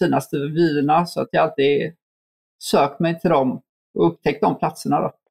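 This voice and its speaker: With a plain, everyday voice, a man speaks at a moderate pace with fairly even intonation in a dry, close sound with no echo. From Sweden, Gothenburg. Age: 30s. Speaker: adventurer and mountaineer. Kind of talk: interview.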